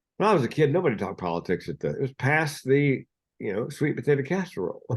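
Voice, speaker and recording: Speaking very fast, a man uses a fairly high pitch with very wide swings and vocal fry. The background is quiet. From US South. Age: 60s. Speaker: mental health speaker and comedian. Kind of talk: podcast interview.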